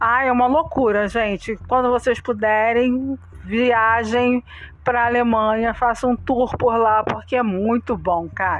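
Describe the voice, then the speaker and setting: A woman speaks fairly slowly in a plain, everyday voice, fairly high in pitch, with fairly even intonation and very even loudness. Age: 40s. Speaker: podcast co-host. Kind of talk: casual chat.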